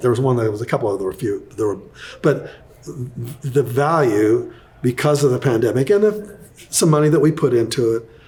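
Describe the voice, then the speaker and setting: Somewhat breathy and fairly high-pitched, a man talks at a fairly quick pace with lively intonation. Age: 70s. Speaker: real estate investor and author. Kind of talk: interview. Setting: studio. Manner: animated.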